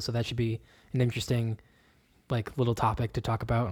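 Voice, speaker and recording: At a fairly quick pace, this man talks in a normal speaking voice pitched in the medium range. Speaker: podcast host. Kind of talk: casual chat.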